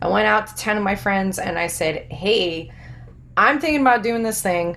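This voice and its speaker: In an American accent, a woman of medium pitch talks with an animated tone and lively intonation amid audible room echo. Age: young. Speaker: army veteran, fitness business owner. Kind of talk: casual interview chat.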